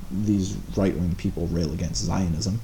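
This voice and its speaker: The room echo is audible and there is noticeable background noise. The speaker keeps a moderate pace. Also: man. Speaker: live streamer. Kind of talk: live stream commentary answering chat. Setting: live stream. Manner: halting, stammering.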